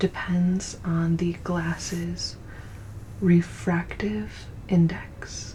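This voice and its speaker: A calm tone comes at a very slow pace over noticeable background noise. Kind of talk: soft-spoken ASMR science narration for sleep. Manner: soft, calm, relaxing.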